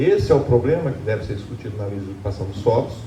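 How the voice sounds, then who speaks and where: A man is speaking. Noticeable background noise and audible room echo fill the recording. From Brazil, Lorena (São Paulo state). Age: 60s. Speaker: public hearing participant. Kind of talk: public hearing remarks. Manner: halting.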